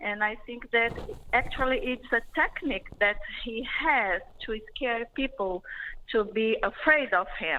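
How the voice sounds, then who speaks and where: Against a quiet background, a woman in a Portuguese accent talks at a fairly slow pace, her fairly high, bright, sharp voice showing ordinary pitch variation. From Brazil. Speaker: caller. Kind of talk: phone-in call.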